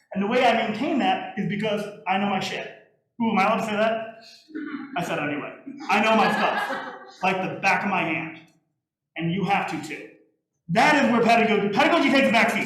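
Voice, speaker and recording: A loud man speaks very fast with a high pitch and ordinary pitch variation. There are long, frequent pauses and audible room echo. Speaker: music teacher. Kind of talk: lecture. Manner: animated.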